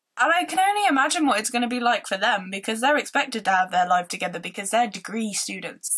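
Against a quiet background, a woman with a northern English accent talks in an animated way, her high voice bright and sharp and swinging very widely in pitch. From northern England. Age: 20s. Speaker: vlogger. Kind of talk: casual vlog. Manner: rambling, animated. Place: home room. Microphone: phone near.

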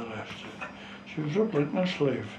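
A man speaks with a strong North East Scottish accent. There is light background noise and audible room echo. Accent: North East Scots dialect, strong. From North East Scotland, Gourdon; Scotland. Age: 90s. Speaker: retired fishing skipper. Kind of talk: oral history interview. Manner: halting. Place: home room.

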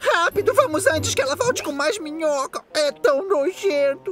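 A put-on character voice is heard with faint music in the background. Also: moderate pace. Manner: excitable, joking.

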